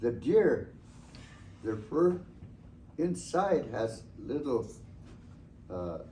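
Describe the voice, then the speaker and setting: Amid audible room echo, a man with a fairly high pitch, a dark, mellow tone and vocal fry talks at a very slow pace with very wide pitch swings. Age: 70s. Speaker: elder storyteller. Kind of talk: storytelling talk to students.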